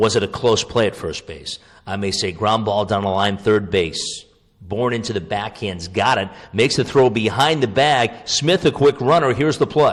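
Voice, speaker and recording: A man talks in a normal speaking voice at a moderate pace. His pitch is fairly low, and his intonation is lively. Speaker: radio play-by-play baseball broadcaster. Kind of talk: podcast interview answer, conversational.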